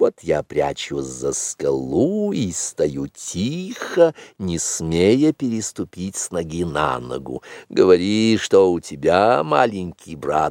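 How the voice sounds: With a slightly mellow tone, the put-on character voice goes at a slow pace with big pitch swings and few pauses, in a dry, close sound with no echo. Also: man, low pitch for a man.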